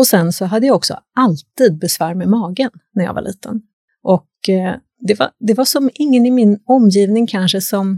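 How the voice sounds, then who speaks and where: With a dark, mellow tone and a somewhat breathy quality, a woman speaks at medium pitch and a moderate pace with lively intonation, in a dry, close sound with no echo. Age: 50s. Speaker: naprapath. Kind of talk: casual chat. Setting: studio.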